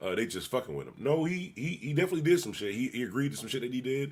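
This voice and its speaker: A man with an American accent at medium pitch, very fast pace, vocal fry and very wide pitch swings, on a very clean recording with a silent background. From Buffalo, New York. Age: 50s. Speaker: live streamer reacting to videos. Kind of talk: casual livestream reaction commentary. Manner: animated.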